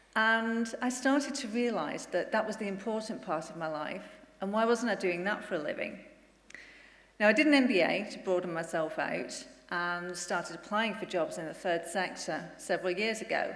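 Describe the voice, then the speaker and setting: A woman talks at medium pitch with lively intonation. Audible room echo surrounds her voice. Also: moderate pace. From northern England, Bolton. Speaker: incoming charity chief executive. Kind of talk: conference speech.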